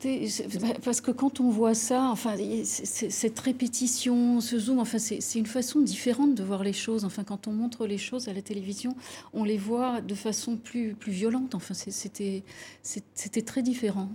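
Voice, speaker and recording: Her voice is somewhat breathy, with a dark, mellow tone. This woman speaks at a fairly high pitch with fairly even intonation. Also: moderate pace. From Lebanon (Beirut). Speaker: architect. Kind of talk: TV interview. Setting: TV studio. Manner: halting.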